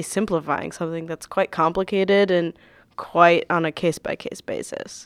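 A woman with an American accent and a plain, everyday voice speaks at a moderate pace and fairly low pitch. The recording is very clean and dry, close with no echo and a silent background. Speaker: podcast co-host. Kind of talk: casual podcast chat.

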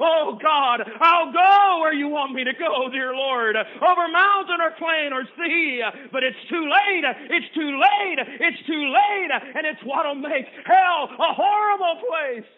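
A man's put-on character voice, shrill and raspy, extremely high-pitched, at a fairly slow pace. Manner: desperate, anguished.

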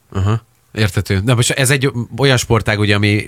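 A man with an unremarkable speaking voice talks at a fairly quick pace and ordinary pitch variation. The recording is very clean, with a silent background and a dry, close sound with no echo. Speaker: radio co-host. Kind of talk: casual radio interview. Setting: studio.

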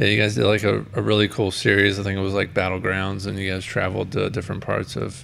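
A man's fairly low, vocal-fry voice at a very fast pace, with hardly any pauses and fairly even intonation. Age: 30s. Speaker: podcast host. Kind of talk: casual chat.

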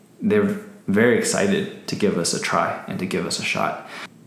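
A man's voice swings very widely in pitch. There is audible room echo and noticeable background noise. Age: 30s. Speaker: entrepreneur. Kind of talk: casual interview. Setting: home office.

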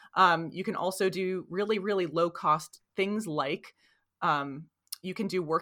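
In an American accent, a woman with a plain, everyday voice talks at a fairly low pitch with ordinary pitch variation. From New Jersey. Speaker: gap year consultant. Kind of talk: interview.

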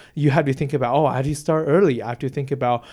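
This is a man with a Chinese accent. His pitch sits in the medium range. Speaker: university student. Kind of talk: interview. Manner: halting.

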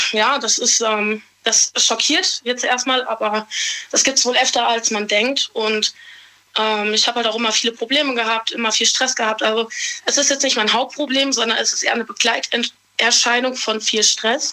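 Over noticeable background noise, a woman with a fairly high pitch talks at a moderate pace, her intonation fairly even and her loudness very even. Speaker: caller. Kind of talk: confessional phone call.

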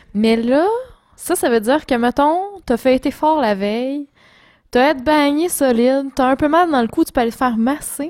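In a Quebec accent, a woman with a high voice and ordinary pitch variation speaks in an animated tone at very even loudness on a very clean recording with a silent background. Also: moderate pace. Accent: Québécois French. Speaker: podcast co-host. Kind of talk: casual chat.

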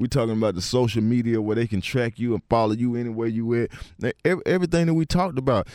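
At a very fast pace, a man talks with medium pitch, ordinary pitch variation and very even loudness. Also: dry, close sound with no echo. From Atlanta, US South (East Point). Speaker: rapper. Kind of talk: casual interview.

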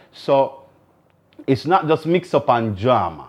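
A man's medium-pitched voice with a Jamaican accent and lively intonation. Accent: Jamaican Patois-inflected English. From Jamaica, Kingston. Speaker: podcast host. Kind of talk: casual solo talk to camera.

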